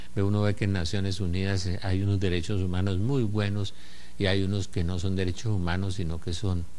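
The speech comes at a fairly quick pace in a monotone, flat intonation, with a dark, mellow tone over light background noise. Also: man, very deep, low pitch for a man. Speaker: TV presenter. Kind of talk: televised religious teaching talk. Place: studio. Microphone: lapel.

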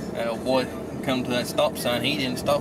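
Behind a man talking at a fairly quick pace, music plays. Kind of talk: casual car chat, storytelling. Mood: amused, teasing. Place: car. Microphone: camera far.

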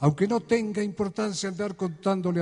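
A man talks at a fairly quick pace in a warm, dark, mellow tone with ordinary pitch variation, against a quiet background. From Argentina. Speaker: folk singer-songwriter (troubadour). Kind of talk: live concert monologue with poems and anecdotes; spoken monologue in concert. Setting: live concert before an audience, Quito. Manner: reflective, warm, humorous storytelling. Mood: reflective, storytelling. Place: stage. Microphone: studio mic.

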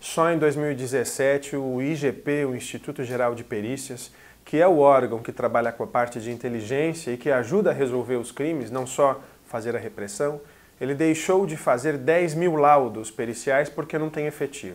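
Pitched fairly high, a man keeps to a moderate pace and varies his pitch in an ordinary way. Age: 30s. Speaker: political candidate; candidate. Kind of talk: radio interview. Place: studio.

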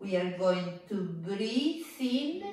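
Very slow speech from a woman, heard with strong room echo. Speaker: fitness instructor. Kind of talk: exercise instruction. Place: home room. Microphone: camera far.

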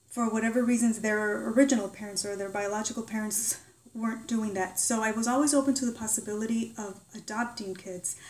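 This is a plain, everyday voice. It moves at a fairly quick pace with fairly even intonation. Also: woman, fairly high pitch for a woman. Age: 40s. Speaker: YouTuber. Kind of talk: personal vlog monologue.

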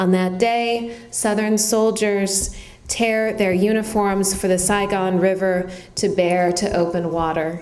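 Very slow speech from a woman at medium pitch, fairly even intonation and very even loudness, with noticeable background noise. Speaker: poet. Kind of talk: poetry reading. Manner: measured, deliberate reading of dense lyric lines; conversational, slightly hesitant in intros with many ums.

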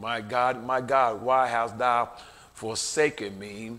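Very slowly, a man says his words. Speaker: preacher. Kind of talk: sermon. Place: church. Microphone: podium.

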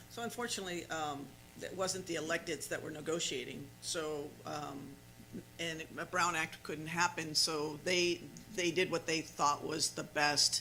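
A man with an American accent speaks at a fairly slow pace, his pitch fairly high and his tone bright and sharp. His intonation stays fairly even, with vocal fry. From California Central Valley, Turlock. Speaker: council member chairing meeting. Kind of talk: council meeting discussion.

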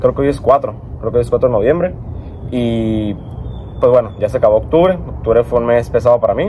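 Over light background noise, a man talks fairly quickly but leaves long, frequent pauses. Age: 20s. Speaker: car vlogger, engineering student; car vlogger. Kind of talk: casual vlog monologue. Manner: rambling, hesitant with fillers. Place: garden.

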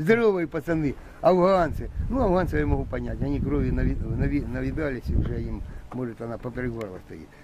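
Over noticeable background noise, a man speaks at a moderate pace with big swings in loudness. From eastern Ukraine, Donbas (Lysychansk). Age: 60s. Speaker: militia fighter. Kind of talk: interview. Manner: emotional.

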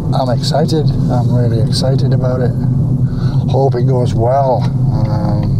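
Over loud background noise, a man speaks at a fairly slow pace with long, frequent pauses. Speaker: wildlife photographer. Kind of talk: casual vlog talk to camera. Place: car. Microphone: phone near.

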